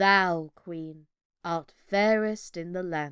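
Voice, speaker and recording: Putting on a character voice, a woman speaks at a very slow pace and a fairly low pitch. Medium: read story. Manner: solemn, measured.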